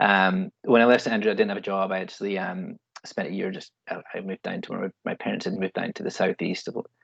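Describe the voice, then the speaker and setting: A man talks at a very fast pace in an American accent, with hardly any pauses. The sound is dry and close, with no echo. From Scotland. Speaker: event planner, alumni panellist. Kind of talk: panel talk, career story. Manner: halting, many fillers and repeats.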